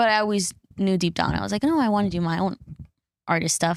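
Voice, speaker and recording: A woman with a Spanish accent and a medium pitch talks at a very fast pace. The recording is very clean with a silent background, in a dry, close sound with no echo. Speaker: singer-songwriter. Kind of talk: podcast interview. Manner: casual, many fillers.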